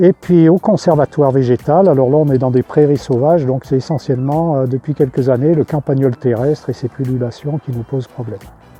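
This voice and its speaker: With music playing in the background, a man with a fairly high voice talks at a fairly quick pace, hardly pausing and using ordinary pitch variation. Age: 60s. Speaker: retired nurseryman, plant conservatory manager. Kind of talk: product testimonial interview. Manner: hesitant, many fillers.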